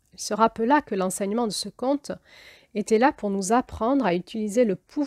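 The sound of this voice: An unforced reading voice is heard. Its pitch varies in an ordinary way.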